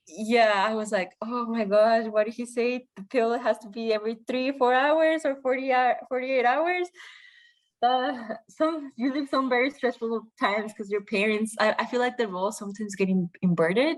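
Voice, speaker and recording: Against a quiet background, a woman talks at a moderate pace in a fairly high voice with ordinary pitch variation. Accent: Spanish. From Mexico. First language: Spanish. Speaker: podcast guest. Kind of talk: interview. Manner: halting.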